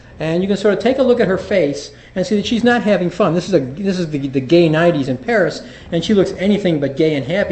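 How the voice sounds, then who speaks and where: A man's high voice at a very fast pace, with ordinary pitch variation, audible room echo and noticeable background noise. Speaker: physician and addiction specialist. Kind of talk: lecture. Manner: halting with fillers and repetitions.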